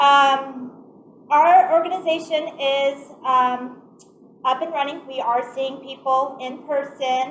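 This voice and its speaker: A loud woman's voice, high in pitch, with fairly even intonation at a very slow pace. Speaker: community agency office manager. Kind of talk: presentation. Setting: meeting room, also on Zoom.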